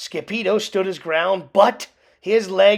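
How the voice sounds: Pitch varies in the ordinary way across this natural reading voice.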